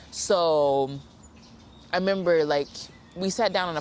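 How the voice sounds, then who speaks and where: A woman talks with a Southern US accent. Her pitch is very deep and low, with ordinary variation. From Arkansas, US. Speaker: film student. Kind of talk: interview answer.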